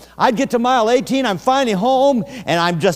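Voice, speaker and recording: A man's animated tone and lively intonation over noticeable background noise. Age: 60s. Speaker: evangelist preacher. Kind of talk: sermon.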